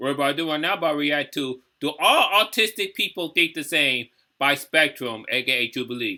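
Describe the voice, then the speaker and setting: Recorded very cleanly against a silent background, a man with an American accent speaks at a moderate pace, fairly high in pitch, with a bright, sharp tone. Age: 30s. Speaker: YouTube reaction creator. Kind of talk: casual reaction commentary. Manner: halting, many fillers.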